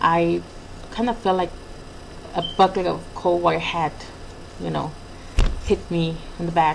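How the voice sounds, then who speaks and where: Moderate pacing over noticeable background noise. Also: woman. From Mexico. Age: 20s. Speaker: vlogger. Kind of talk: personal video diary. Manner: halting, many fillers.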